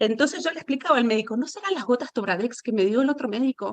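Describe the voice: A woman talks at a fast pace with lively intonation. Her pitch sits fairly high.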